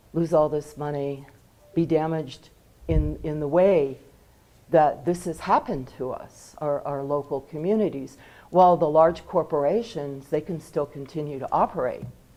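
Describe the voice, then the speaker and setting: A woman's very deep, low voice, dark and mellow, with ordinary pitch variation. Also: moderate pace. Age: 70s. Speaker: member of the public giving comment. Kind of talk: public comment at meeting.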